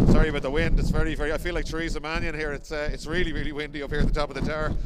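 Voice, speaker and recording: A man races along at a very fast pace while loud background noise fills the clip. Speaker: race commentator presenter. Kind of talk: commentary. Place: open country. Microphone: handheld.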